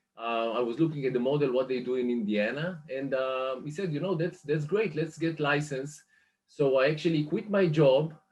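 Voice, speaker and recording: This speaker has an Israeli accent and a moderate pace. The pitch varies in an ordinary way. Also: man, fairly high pitch for a man. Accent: Israeli accent, still noticeable. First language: Hebrew. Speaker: mortgage lender business manager. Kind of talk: interview. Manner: hesitant, many fillers.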